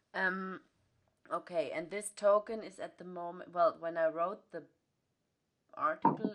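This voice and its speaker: A German accent at a moderate pace, with ordinary pitch variation. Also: woman, big swings in loudness. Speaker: podcast host. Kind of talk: interview. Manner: halting, many fillers.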